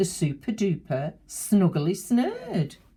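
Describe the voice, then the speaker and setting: A woman speaks at a very slow pace. Her tone is dark, mellow and somewhat breathy. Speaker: grandmother reading a picture book aloud to children. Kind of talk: children's storybook reading.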